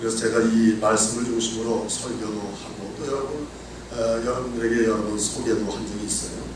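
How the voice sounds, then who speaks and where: Both noticeable background noise and audible room echo come with this man's voice. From South Korea, North Chungcheong (Boeun). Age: 60s. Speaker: pastor. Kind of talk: sermon.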